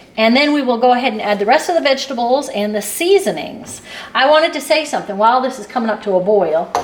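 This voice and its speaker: High-pitched and very fast, a woman's voice makes very wide pitch swings. Noticeable background noise runs underneath. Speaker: cooking channel host. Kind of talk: cooking tutorial.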